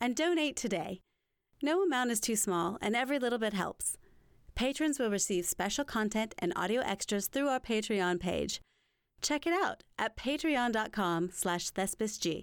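A plain, everyday voice from a woman, fairly high in pitch, with an American accent at a moderate pace. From South Carolina Upstate. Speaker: podcast host. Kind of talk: interview; scripted announcements.

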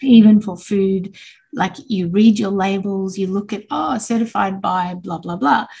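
Somewhat breathy and dark, mellow in tone, a woman speaks at a moderate pace in a medium-pitched voice. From Australia. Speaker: business founder. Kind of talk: interview.

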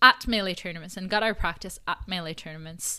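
A woman speaks in a French accent with a bright, sharp tone. The recording is very clean, with a silent background. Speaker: esports commentator and podcaster. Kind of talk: interview.

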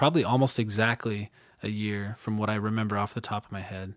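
A man with an ordinary speaking voice talks at a fairly quick pace, his medium pitch carried on fairly even intonation. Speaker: recording studio owner and musician. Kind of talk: interview.

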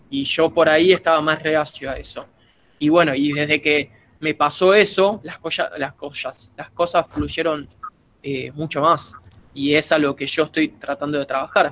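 This man speaks at a fairly slow pace in an unremarkable speaking voice, his pitch fairly high and his intonation fairly even. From Argentina. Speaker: martial arts practitioner. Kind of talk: casual chat.

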